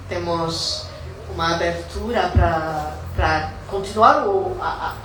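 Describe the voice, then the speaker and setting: Very slow speech from a woman, amid noticeable background noise and audible room echo. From South Africa. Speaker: poet and capoeira student. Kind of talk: public talk at cultural event. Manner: halting.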